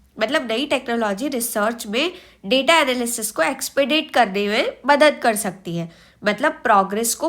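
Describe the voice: Her fairly high voice has a fairly bright tone, and this woman talks at a moderate pace with lively intonation.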